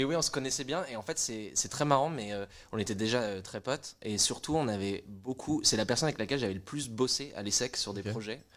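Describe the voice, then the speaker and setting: A man uses a normal speaking voice at a medium pitch, talking at a fairly quick pace with ordinary pitch variation. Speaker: music startup co-founder. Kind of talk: casual chat.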